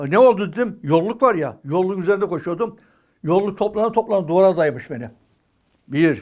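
In a very clean recording with a silent background, a man with a high pitch speaks at a moderate pace using lively intonation. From Turkey, Balıkesir. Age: 80s+. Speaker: retired athlete and coach. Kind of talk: interview monologue, life story.

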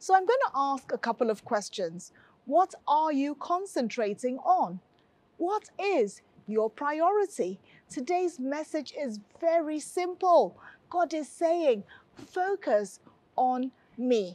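In a dry sound with no echo, a woman speaks very slowly at a high pitch with very wide pitch swings. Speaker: pastor presenting a health. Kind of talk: sermon. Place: studio. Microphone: lapel.

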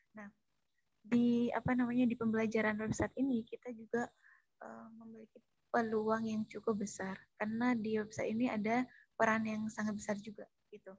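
Somewhat breathy and fairly high in pitch, a woman speaks with monotone, flat intonation and big swings in loudness. The sound is dry with no echo, and the background is quiet. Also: fairly quick pace. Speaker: student moderator. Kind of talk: class presentation. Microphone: too quiet at first; video call.

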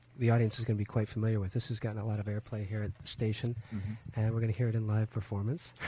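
A man speaks in a somewhat breathy voice. The sound is dry, with no echo, and has light background noise. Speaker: radio show host. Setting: radio studio. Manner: relaxed. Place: studio.

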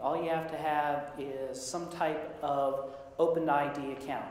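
A man is speaking. His voice carries audible room echo. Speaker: sysadmin and conference presenter. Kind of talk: conference talk. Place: meeting room.

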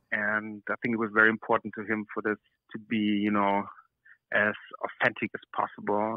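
Fairly quick and fairly low-pitched, a man speaks with a German accent. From southern Austria. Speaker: actor. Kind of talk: interview. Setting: phone call from hotel room.

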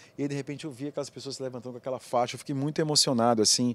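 The man speaks with fairly even intonation. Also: dry sound with no echo. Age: 50s. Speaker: film director. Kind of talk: interview. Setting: film festival. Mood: reflective, moved. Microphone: handheld.

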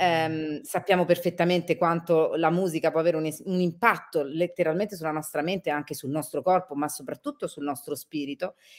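Against a quiet background, a woman with an ordinary speaking voice talks at a fairly quick pace, her pitch fairly low and her intonation fairly even. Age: 40s. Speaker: travel reporter and radio-TV presenter; travel reporter, radio TV presenter. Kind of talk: interview. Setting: live video stream. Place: home room.

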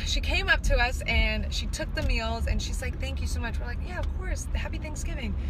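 A woman's voice, dry with no echo, amid noticeable background noise. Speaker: vlogger. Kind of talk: casual vlog storytelling. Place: car. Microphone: phone near.

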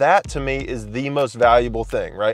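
A man speaks with a dry sound and no echo. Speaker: coffee shop reviewer. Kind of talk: casual vlog review. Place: car. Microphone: phone near.

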